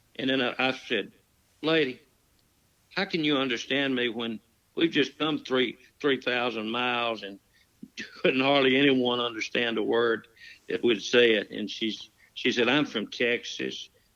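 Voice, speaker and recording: A man speaks at a fairly slow pace with a strong Southern accent. His tone is bright and sharp, broken by long, frequent pauses. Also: medium pitch for a man, ordinary pitch variation. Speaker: storyteller. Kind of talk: storytelling in casual chat. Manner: folksy, rambling delivery.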